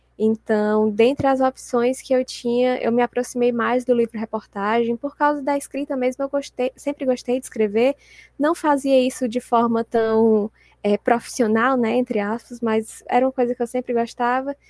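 A woman's high-pitched voice at a moderate pace, with fairly even intonation and a dry, close sound with no echo. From Brazil, Fortaleza, Ceará. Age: 20s. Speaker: sports journalist and author. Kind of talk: casual interview chat.

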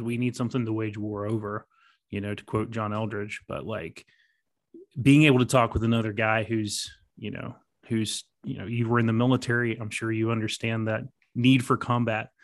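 A man's medium-pitched voice with an American accent, flat and monotone, at a moderate pace over a quiet background. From southern West Virginia. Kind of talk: casual chat.

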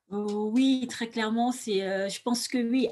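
The speaker here is a woman. She sounds somewhat breathy. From Cameroon, Douala. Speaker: beauty entrepreneur, former flight attendant. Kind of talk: interview testimony. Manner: hesitant, many fillers and repetitions.

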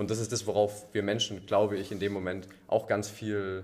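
A man's fairly low voice comes through at a moderate pace with flat, monotone intonation. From Allgäu, southern Germany. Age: 20s. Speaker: boatbuilder apprentice, CrossFit member. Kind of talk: casual interview chat.

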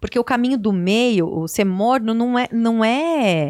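A woman's unremarkable speaking voice, fairly high in pitch with lively intonation, in a dry, close sound with no echo and a very clean recording with a silent background. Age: 40s. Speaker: TV and radio presenter. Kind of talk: interview.

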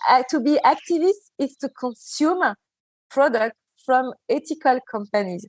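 A woman with a French accent speaks at a fairly slow pace and high pitch, with very wide pitch swings and long, frequent pauses, in a dry, close sound with no echo. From Djibouti and Martinique. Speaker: skincare brand founder. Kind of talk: interview. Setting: remote call.

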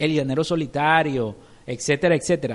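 The voice belongs to a man. His delivery is fairly slow. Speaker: film podcast co-host. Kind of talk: casual chat.

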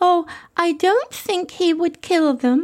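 A woman uses a put-on character voice that is squeaky, breathy and extremely high-pitched. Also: fairly slow pace. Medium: audio drama. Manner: sweet, breathy.

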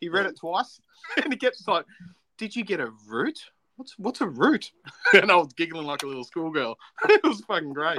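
In an Australian accent, the voice makes very wide pitch swings and big swings in loudness. There are long, frequent pauses, in a dry, close sound with no echo. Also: man, high pitch for a man, fairly quick pace. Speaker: podcast co-host. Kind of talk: casual chat. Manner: animated.

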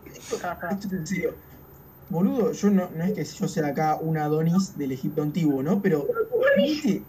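Noticeable background noise beneath a fairly slow pace. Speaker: football podcast co-host. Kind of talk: casual chat.

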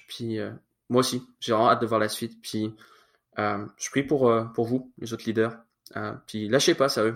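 Recorded very cleanly with a silent background, a man speaks at medium pitch and a moderate pace, with fairly even intonation and long, frequent pauses. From France, in Quebec since about age 9. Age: 20s. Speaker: church youth leader and student. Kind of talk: casual interview.

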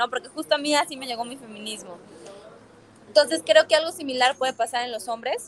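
A woman speaks in a high voice with ordinary pitch variation. The sound is dry and close, with no echo. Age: 20s. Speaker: politician and women's rights activist. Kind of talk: interview conversation.

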